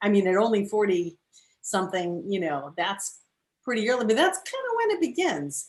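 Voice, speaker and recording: With a normal speaking voice at medium pitch, a woman talks at a moderate pace using lively intonation. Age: 60s. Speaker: talk show host. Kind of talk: interview.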